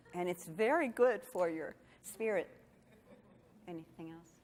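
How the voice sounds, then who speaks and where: Moving at a moderate pace, a woman's voice makes very wide pitch swings. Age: 60s. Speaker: yoga teacher. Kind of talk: Q&A session. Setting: conference with audience. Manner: halting.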